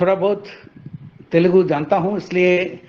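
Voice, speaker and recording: A man with a Tamil accent speaks at a high pitch against noticeable background noise. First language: Tamil (speaking Hindi). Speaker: professor of Hindi grammar. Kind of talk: formal course introduction. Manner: hesitant, with fillers.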